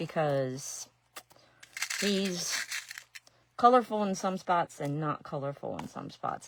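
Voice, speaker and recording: A woman speaks with an Ohio accent. Her pitch is fairly low, with ordinary variation. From Ohio, US Midwest. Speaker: resin and glass artist. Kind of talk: live craft demonstration. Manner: casual, chatty.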